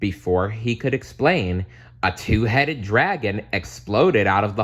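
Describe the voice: The reading is plain and aloud, with ordinary pitch variation.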